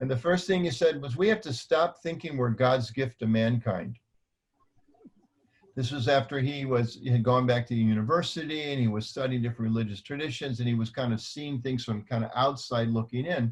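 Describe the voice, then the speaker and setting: At a fairly quick pace, a man talks in a somewhat breathy voice of medium pitch with ordinary pitch variation. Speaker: panelist, religious community manager. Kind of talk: panel discussion. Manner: fast.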